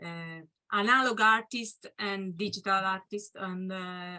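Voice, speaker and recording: Very slowly, a woman talks in a bright, sharp tone with a non-native accent. Her pitch sits in the medium range. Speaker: artist and technologist speaker. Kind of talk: Q&A discussion. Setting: video call. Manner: halting.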